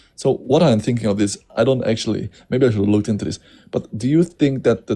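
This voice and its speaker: A man's fairly low, dark, mellow voice with a non-native accent. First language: not English. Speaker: panel participant. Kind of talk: casual debate stream chat. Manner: halting.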